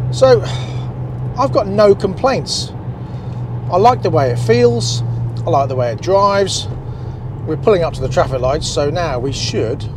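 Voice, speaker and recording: Amid noticeable background noise, a man talks at a moderate pace with long, frequent pauses. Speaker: car reviewer. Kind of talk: casual review commentary while driving. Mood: cheerful, relaxed. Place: car. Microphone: lapel.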